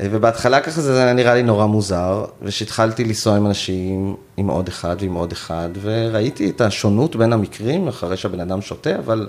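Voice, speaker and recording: Using an ordinary speaking voice, a man with fairly low pitch speaks at a moderate pace with ordinary pitch variation. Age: 40s. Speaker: end-of-life companion for assisted dying. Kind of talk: interview.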